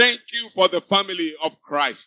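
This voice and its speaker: An animated man projects his high, raised voice with a bright, sharp tone. His pitch varies in an ordinary way, and the sound is dry and close with no echo. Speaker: pastor. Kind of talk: sermon; prayer. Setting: church.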